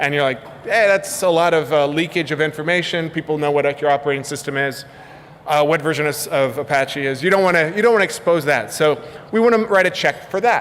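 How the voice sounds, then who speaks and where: Against noticeable background noise, a man talks at a fairly quick pace with a fairly high pitch and ordinary pitch variation. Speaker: conference speaker, software developer. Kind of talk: conference talk. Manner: casual, many fillers and repetitions.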